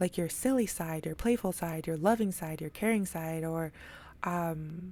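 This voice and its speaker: A woman talks with a dark, mellow tone and a fairly low pitch. Her pitch variation is ordinary. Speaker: tarot reader. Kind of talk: tarot reading monologue. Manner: fast; casual, filler-heavy.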